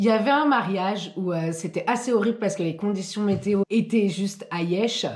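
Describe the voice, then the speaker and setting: With a Belgian accent, a woman talks at a moderate pace with hardly any pauses and ordinary pitch variation. Noticeable background noise runs under her voice. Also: medium pitch for a woman. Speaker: YouTuber and wedding waitstaff. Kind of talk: storytime monologue. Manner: casual, animated.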